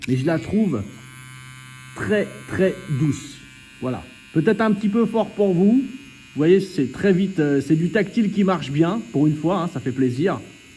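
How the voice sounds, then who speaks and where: A man speaks in an animated tone at a high pitch. He leaves long, frequent pauses. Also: lively intonation. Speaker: tattoo artist reviewing equipment. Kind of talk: product demo tutorial. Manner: casual, animated.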